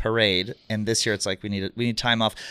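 Against a quiet background, a man speaks very fast in a fairly low voice, with a dry sound and no echo. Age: 30s. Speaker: comedy podcast co-host. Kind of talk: casual chat. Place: studio. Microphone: studio mic.

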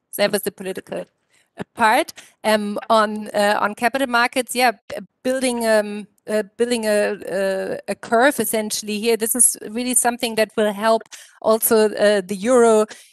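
A woman with a German accent, fairly high in pitch, at a moderate pace with fairly even intonation, in a dry sound with no echo over a quiet background. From Germany. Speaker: economist; panellist. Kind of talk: panel discussion. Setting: virtual conference. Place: home room. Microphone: headset.

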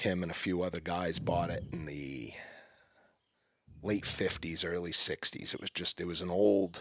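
This man has a low-pitched voice with ordinary pitch variation. He talks at a moderate pace.

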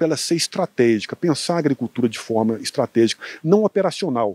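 A man is speaking here. His intonation is lively. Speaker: agricultural researcher. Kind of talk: interview. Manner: fast.

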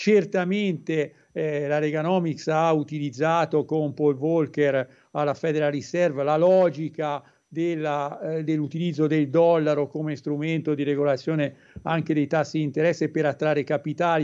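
Over a quiet background, a man with a fairly high pitch talks at a moderate pace in a dark, mellow tone with monotone, flat intonation. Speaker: professor. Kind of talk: interview on economics. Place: home room. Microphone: video call.

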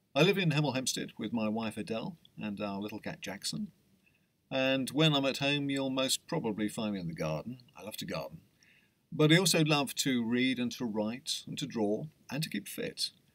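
On a very clean recording with a silent background, a man with a normal speaking voice talks at a moderate pace with lively intonation. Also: medium pitch for a man. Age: 60s. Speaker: actor and voiceover artist. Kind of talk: self-introduction.

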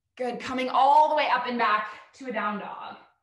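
Audible room echo surrounds a woman speaking fairly slowly with ordinary pitch variation. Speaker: yoga instructor. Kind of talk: guided yoga class instructions. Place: home room. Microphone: camera far.

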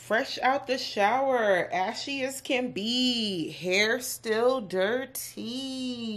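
Her pitch varies in an ordinary way as a woman talks. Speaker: vlogger. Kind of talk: casual vlog chat. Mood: proud, excited. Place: home room. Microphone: camera far.

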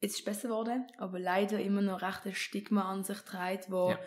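With a Swiss accent, a woman talks at a fairly slow pace in a monotone, flat intonation, leaving long, frequent pauses. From Switzerland. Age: 20s. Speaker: intern and incoming psychology student; podcast guest. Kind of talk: casual chat. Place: home room. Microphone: studio mic.

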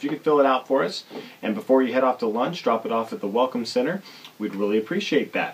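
A man at a very fast pace, with very wide pitch swings. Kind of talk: church announcements video. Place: home room.

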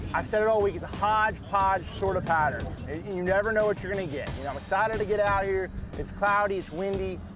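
Speech comes at a very fast pace over clear background music, with a dry sound and no echo. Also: man. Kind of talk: interview answer. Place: boat.

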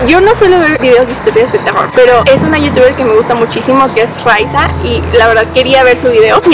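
A woman's high-pitched, fairly quick voice with noticeable background noise. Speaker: youtuber. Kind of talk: casual talk to camera, vlog-style storytelling. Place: forest.

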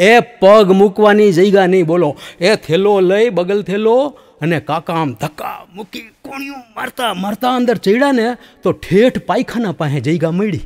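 Pitched high, a man speaks with lively intonation. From Gujarat, India. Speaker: stand-up comedian. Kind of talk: stand-up. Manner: animated. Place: studio. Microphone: studio mic.

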